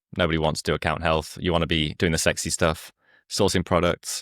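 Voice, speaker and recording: This very clean recording, with a silent background and a dry, close sound free of echo, has a man with a British accent speaking fairly quickly in a very deep, low, monotone, flat voice. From UK. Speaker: company founder. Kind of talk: interview.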